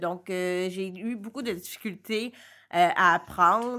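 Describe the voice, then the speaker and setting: With a Quebec accent, a woman speaks at a very slow pace in a medium pitch with ordinary pitch variation and a bright, sharp tone on a very clean recording with a silent background. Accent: Québécois French. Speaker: entrepreneur and blogger. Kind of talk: interview. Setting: recording studio in a coworking space.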